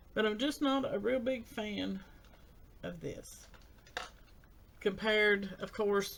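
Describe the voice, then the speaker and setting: Mumbling at a fairly slow pace, a woman speaks with audible room echo around her. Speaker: beauty vlogger. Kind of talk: makeup tutorial talk-through.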